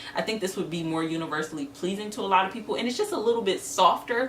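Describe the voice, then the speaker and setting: With noticeable background noise present, the woman's pitch varies in an ordinary way. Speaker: beauty vlogger. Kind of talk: casual product review. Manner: fast.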